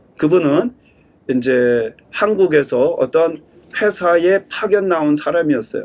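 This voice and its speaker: A man talks at a very slow pace in a high voice. His intonation is lively. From Korea. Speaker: pastor. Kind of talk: sermon. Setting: church service streamed online.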